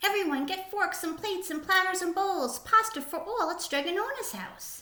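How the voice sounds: A woman puts on a character voice with a bright, sharp tone and extremely high pitch, talking at a moderate pace amid audible room echo. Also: lively intonation.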